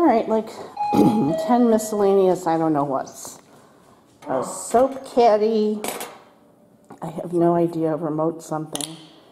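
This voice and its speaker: Light background noise under a woman's voice. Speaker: home vlogger decluttering. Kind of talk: casual vlog chat. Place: home room. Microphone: phone near.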